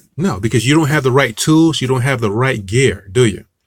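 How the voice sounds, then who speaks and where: Somewhat breathy, a man with an American accent speaks at a moderate pace with ordinary pitch variation. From Newark, New Jersey. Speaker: music marketing coach. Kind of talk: online tutorial. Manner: casual, with frequent fillers and restarts.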